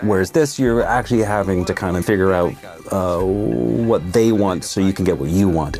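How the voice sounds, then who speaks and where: A man talks at a moderate pace with very deep, low pitch and lively intonation. Noticeable background noise runs underneath. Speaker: voice actor. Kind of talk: interview answer.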